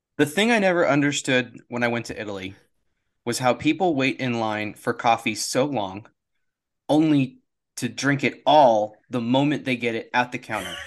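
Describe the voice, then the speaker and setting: A man's plain, everyday voice at medium pitch and moderate pace, ordinary pitch variation, quiet background. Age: 30s. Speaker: baseball podcast co-host. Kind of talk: casual chat.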